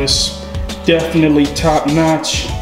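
Clear music runs in the background while a man talks. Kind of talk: casual vlog chat. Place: garage. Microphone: phone near.

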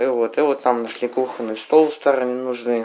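A man speaks with fairly even intonation. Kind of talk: casual show-and-tell explanation. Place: home room. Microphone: phone near.

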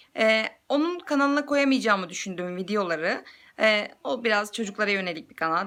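A woman's bright, sharp voice, very fast, with very wide pitch swings. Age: 20s. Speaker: YouTuber and mother. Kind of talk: casual vlog introduction. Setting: selfie video at home.

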